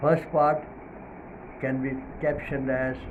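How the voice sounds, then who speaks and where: Speaking very slowly with a non-native accent, a man is heard over noticeable background noise with audible room echo. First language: not English. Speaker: Islamic preacher. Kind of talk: religious talk. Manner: hesitant, many fillers.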